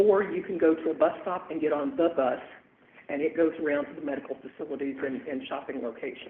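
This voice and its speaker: Talking at a fairly quick pace, the man has an ordinary speaking voice with a fairly high pitch and ordinary pitch variation. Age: 60s. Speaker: transit agency director presenting to city council. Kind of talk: public presentation at council meeting. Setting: city council meeting.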